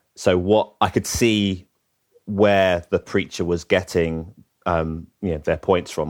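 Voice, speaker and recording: Fairly even intonation runs through this speech in a London accent. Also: man. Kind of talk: interview. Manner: halting, many fillers.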